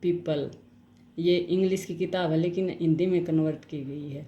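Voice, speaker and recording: In a Haryanvi accent, a woman speaks at a fairly low pitch with a dark, mellow tone and audible room echo. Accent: Haryanvi-tinged Hindi. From Haryana, India. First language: Haryanvi (speaking Hindi). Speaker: YouTuber reading books aloud. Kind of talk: book summary and reading aloud. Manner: halting, with false starts.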